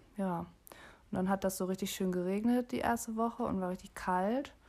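On a very clean recording with a silent background, a woman speaks at a moderate pace. Her pitch is medium, with ordinary variation. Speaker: podcast co-host. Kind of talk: casual chat.

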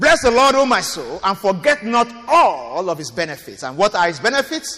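A man with a high pitch speaks in a raised, projected voice at a moderate pace, with very wide pitch swings, big swings in loudness and hardly any pauses. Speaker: pastor. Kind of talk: sermon. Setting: church auditorium.

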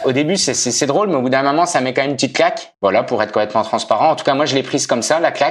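With hardly any pauses, a man speaks at a very fast pace with ordinary pitch variation. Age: 30s. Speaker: amateur marathon runner. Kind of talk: podcast interview.

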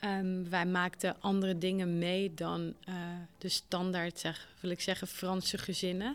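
In a very clean recording with a silent background, a woman speaks at a medium pitch. Her delivery is fairly slow and monotone, with flat intonation and very even loudness. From small village in France, foreign family. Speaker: trainer of teachers in digital skills. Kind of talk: interview. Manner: hesitant, many fillers.

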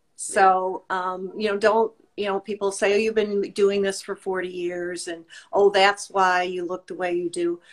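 In an American accent, a woman speaks fairly slowly at a medium pitch with monotone, flat intonation. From US Midwest. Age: 60s. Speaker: fitness instructor and skincare business owner. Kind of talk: casual chat.

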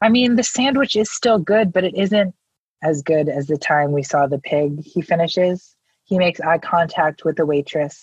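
This woman talks at a moderate pace with very even loudness and lively intonation. Her pitch is fairly low, her voice somewhat breathy with an American accent, and the sound is dry and close with no echo. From Connecticut, US. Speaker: poet. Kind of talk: casual chat.

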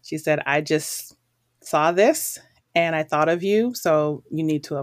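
A woman with an American accent has a very deep, low pitch. Her pace is fairly slow. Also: ordinary pitch variation. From Boston, Massachusetts. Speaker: school principal. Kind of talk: interview.

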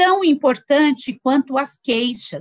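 The sound is close and dry, with no echo. A woman's high voice moves through very wide pitch swings. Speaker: physician, endocrinologist. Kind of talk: interview discussion.

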